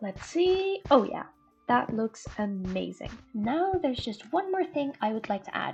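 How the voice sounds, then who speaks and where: Fairly slow, high-pitched speech from a woman with very wide pitch swings, music in the background. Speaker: gaming YouTuber. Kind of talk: casual gameplay commentary.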